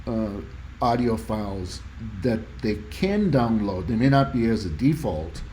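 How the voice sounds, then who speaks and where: There is audible room echo as a man at medium pitch speaks fairly slowly, somewhat breathy, with lively intonation. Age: 60s. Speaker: audio hobbyist YouTuber. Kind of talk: tutorial presentation. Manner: casual, halting with fillers.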